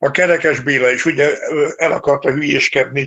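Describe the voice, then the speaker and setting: This man's voice is fairly high in pitch, with monotone, flat intonation. He speaks at a fairly slow pace. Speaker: retired military conductor. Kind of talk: interview.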